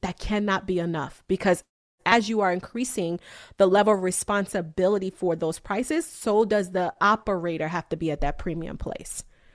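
A woman in a plain, everyday voice speaks at a medium pitch with ordinary pitch variation, recorded very cleanly against a silent background. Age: 30s. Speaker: business coach. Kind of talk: interview.

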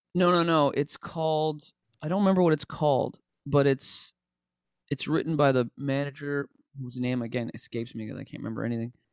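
A man with a Canadian accent and an unremarkable speaking voice, fairly high in pitch with ordinary variation, at a fairly quick pace, in a dry, close recording with no echo. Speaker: music producer. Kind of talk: casual chat.

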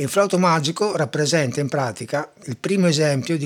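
This man has a plain, everyday voice. He talks at a fairly quick pace with ordinary pitch variation. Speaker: classical music podcaster. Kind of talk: educational talk on music.

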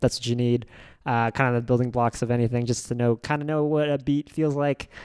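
A man speaks at a very fast pace. He has an American accent. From Oklahoma, Norman. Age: 30s. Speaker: stand-up comedian. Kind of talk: casual chat.

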